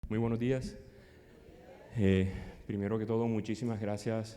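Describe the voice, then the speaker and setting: With audible room echo, a man talks at a fairly quick pace in a fairly low, dark, mellow voice with monotone, flat intonation. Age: 50s. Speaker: psychologist and conference speaker. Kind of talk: conference talk. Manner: fast.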